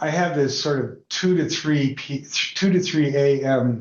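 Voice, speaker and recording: This is an unremarkable speaking voice moving at a fairly slow pace. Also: man. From Denver, Colorado, raised partly in Atlanta. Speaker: entrepreneur. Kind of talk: interview conversation.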